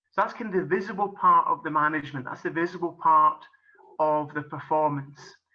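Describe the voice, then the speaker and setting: Bright and sharp in tone, this man's voice sits at a fairly high pitch. He speaks with a Scottish accent. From Scotland. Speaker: golf coach and business coach. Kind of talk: presentation.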